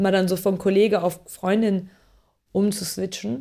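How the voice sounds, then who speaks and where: At a fairly slow pace, a woman with a normal speaking voice and a medium pitch is heard on a very clean recording with a silent background. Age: 30s. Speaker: media producer and company founder. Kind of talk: interview.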